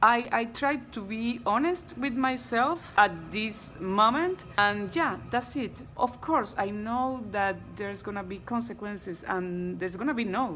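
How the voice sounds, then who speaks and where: Over music in the background, a woman talks at a fairly slow pace with hardly any pauses and a lively, varied intonation. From Cuba. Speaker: actress. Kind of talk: interview. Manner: halting.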